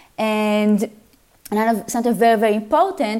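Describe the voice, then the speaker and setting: Her fairly high voice carries an Israeli accent as the woman speaks. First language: Hebrew. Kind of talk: educational panel discussion. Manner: enthusiastic.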